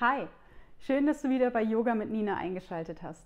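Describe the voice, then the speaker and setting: At a moderate pace, a woman is talking. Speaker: yoga instructor. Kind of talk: yoga class instruction. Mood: calm, friendly, relaxing. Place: home room. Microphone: lapel.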